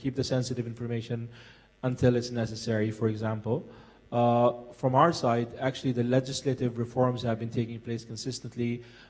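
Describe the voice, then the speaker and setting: Speaking fairly quickly with an American accent, a man uses a medium pitch and a somewhat breathy, monotone delivery with flat intonation. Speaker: forum panelist, military veteran. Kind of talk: panel discussion. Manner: halting.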